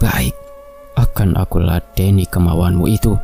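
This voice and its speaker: A man's put-on character voice, very deep and low, over clear background noise. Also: moderate pace. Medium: read story. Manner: graceful, calm.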